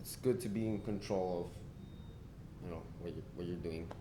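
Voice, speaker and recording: A man's voice carries audible room echo. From Spain and Argentina. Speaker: musician. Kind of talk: casual interview chat.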